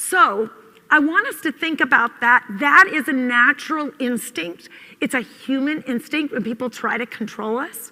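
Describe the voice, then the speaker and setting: Speaking at a moderate pace, a woman with a high pitch uses a raised, projected voice, lively intonation and big swings in loudness. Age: 50s. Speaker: conference speaker, mother. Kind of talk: conference talk.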